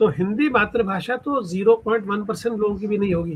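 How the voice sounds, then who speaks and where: Moderate pace from a man with a high pitch and ordinary pitch variation. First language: Punjabi (speaking Hindi). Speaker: writer. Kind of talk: interview. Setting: podcast.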